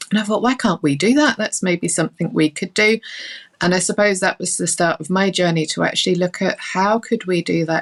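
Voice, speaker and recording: A woman with a London accent and vocal fry talks at a fairly quick pace with ordinary pitch variation, the sound dry and close with no echo. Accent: non-Northern Irish accent, London. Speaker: early years lecturer and author. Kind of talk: podcast interview.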